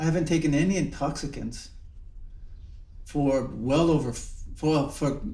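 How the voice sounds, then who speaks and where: Somewhat breathy and fairly high-pitched, a man talks at a moderate pace, with audible room echo. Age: 70s. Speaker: Zen monk and teacher. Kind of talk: reflective dharma talk. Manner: halting, with many repetitions and fillers.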